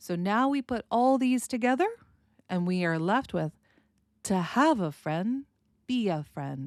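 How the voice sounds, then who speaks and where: A woman with an American accent speaks at a moderate pace with lively intonation in a plain, everyday voice. The sound is dry and close, with no echo. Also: very clean recording, silent background. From United States. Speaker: speech coach. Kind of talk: educational podcast, pronunciation lesson.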